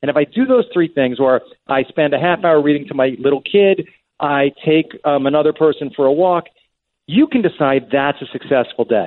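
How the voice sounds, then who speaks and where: This man has an ordinary speaking voice, pitched fairly high, with very even loudness, ordinary pitch variation and a moderate pace. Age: 50s. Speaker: screenwriter and TV showrunner. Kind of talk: interview conversation. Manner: repeats words and restarts sentences.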